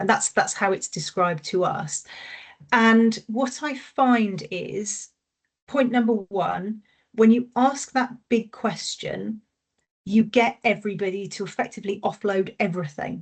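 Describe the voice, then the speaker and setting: Pitch variation here is ordinary. The delivery is fairly slow and somewhat breathy. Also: woman, fairly high pitch for a woman. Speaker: consultant. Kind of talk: webinar presentation. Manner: halting.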